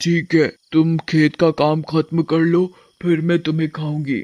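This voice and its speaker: A man's cartoonish character voice, fairly high in pitch, with monotone, flat intonation at a moderate pace. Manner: menacing.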